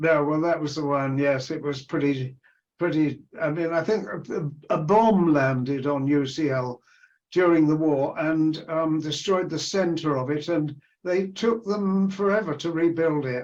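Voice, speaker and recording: Speaking with an English accent, a man uses a fairly high pitch and ordinary pitch variation. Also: fairly slow pace. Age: 80s+. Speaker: retired anthropologist. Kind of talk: interview conversation. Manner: halting.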